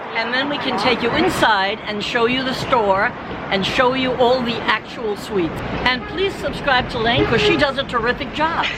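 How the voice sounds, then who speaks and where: A woman with an American accent speaks at a high pitch, with audible room echo and noticeable background noise. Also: lively intonation, moderate pace. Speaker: bakery owner. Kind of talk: casual chat. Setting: outdoors.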